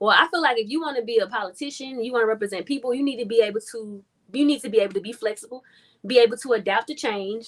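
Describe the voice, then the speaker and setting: A woman talks very fast in an American accent. Her pitch is fairly high, with ordinary variation. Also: big swings in loudness. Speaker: community organizer. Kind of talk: interview. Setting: livestream.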